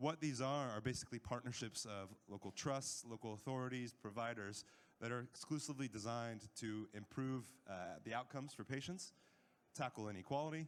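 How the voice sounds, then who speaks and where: Speaking at a fairly quick pace, a man with an American accent has an unremarkable speaking voice, a medium pitch and ordinary pitch variation. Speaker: panel chair at a health tech conference. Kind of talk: conference presentation.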